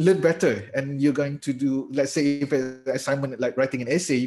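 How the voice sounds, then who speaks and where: A man's fairly high, somewhat breathy voice with a Malaysian accent, at a moderate pace. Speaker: lecturer giving a webinar. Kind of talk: webinar Q&A.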